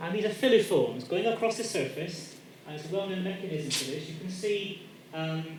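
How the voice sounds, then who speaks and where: A man's voice, carrying audible room echo over noticeable background noise, keeps a moderate pace and ordinary pitch variation. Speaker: professor. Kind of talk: lecture. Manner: loud.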